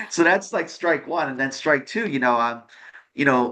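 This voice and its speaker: Over a quiet background, a man with an American accent and a medium pitch speaks at a moderate pace in a bright, sharp tone with lively intonation. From New York. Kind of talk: interview. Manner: halting, many false starts and fillers.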